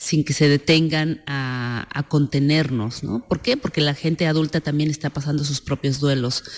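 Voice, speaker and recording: With a Mexican accent, a woman with a very deep, low pitch talks at a fairly slow pace and fairly even intonation. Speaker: film director. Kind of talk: interview.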